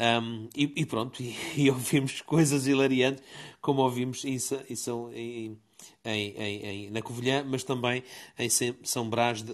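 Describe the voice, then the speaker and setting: A man talks fairly slowly with fairly even intonation, set against a quiet background. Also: medium pitch for a man. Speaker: participant in a live audio discussion room. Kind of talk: casual discussion. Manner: halting, many repetitions and fillers.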